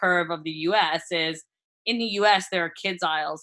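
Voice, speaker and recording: Speaking at a moderate pace with an American accent, a woman has an ordinary speaking voice at medium pitch. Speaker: food brand founder. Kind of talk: podcast interview.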